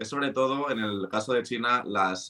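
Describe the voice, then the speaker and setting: At a moderate pace, a man with a medium pitch and a bright, sharp tone speaks with fairly even intonation. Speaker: finance podcast host. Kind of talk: conversational podcast explainer.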